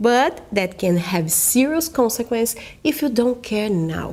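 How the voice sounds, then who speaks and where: Speaking with a Brazilian accent, a woman talks at a fairly slow pace. Her pitch swings very widely. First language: Portuguese. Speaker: natural vision coach. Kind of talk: online course sales presentation. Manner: careful non-native English.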